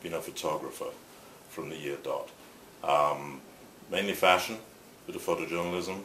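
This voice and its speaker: A man with an English accent at a moderate pace, amid noticeable background noise and audible room echo. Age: 60s. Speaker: photographer and shirt company founder. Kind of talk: interview. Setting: on camera interview.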